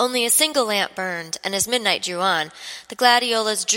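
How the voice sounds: Delivered in a natural reading voice, the speech shows ordinary pitch variation.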